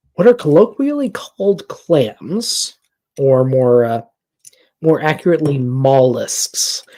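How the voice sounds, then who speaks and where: Very slowly and in an American accent, a man speaks in a dark, mellow tone, his fairly high voice moving in very wide pitch swings. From US Midwest, rural. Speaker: streamer reviewing debates. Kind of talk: casual chat. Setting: live stream.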